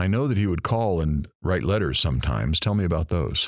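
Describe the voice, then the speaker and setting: Delivered at a fairly quick pace, the put-on character voice comes through on a very clean recording with a silent background. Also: man, very deep, low pitch for a man. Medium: audio drama. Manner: gentle, attentive.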